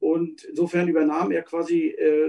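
An ordinary speaking voice, this man's is fairly high in pitch, with fairly even intonation. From Mecklenburg, northern Germany. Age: 40s. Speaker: former shepherd, craftsman. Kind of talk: personal life story.

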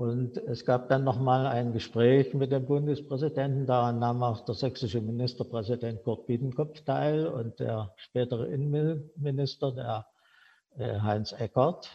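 At a fairly slow pace, a man with a medium pitch speaks in a somewhat breathy voice with fairly even intonation. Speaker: former factory director. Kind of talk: personal storytelling.

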